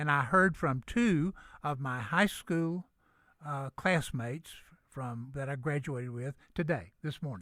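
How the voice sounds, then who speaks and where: A man in a Southern US accent, bright and sharp, with lively intonation at a fairly slow pace, on a very clean recording with a silent background. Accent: Southern US (Georgia). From US South, Gainesville, north Georgia. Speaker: retired business executive. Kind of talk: radio interview.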